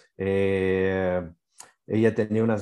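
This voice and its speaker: The voice has a dark, mellow tone and fairly even intonation over a quiet background. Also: man. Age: 50s. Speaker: naturopathy expert. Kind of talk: interview explanation.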